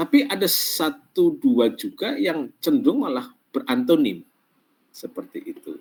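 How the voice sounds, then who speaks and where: Big swings in loudness mark this man's fairly slow speech. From Central Java, Pemalang. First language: Javanese (Banyumasan dialect) (speaking Indonesian). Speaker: lecturer. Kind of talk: online class lecture. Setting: online class. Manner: halting, many fillers.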